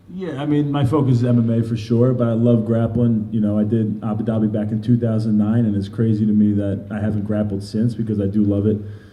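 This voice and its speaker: A man with a New York accent talks very fast with hardly any pauses at a fairly low pitch and fairly even intonation, amid noticeable background noise and audible room echo. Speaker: MMA fighter. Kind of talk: interview.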